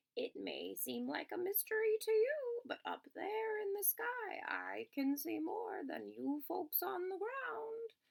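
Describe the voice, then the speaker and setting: A woman puts on a character voice at an extremely high pitch. She delivers it at a fairly slow pace. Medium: read story. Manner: sly, falsely friendly.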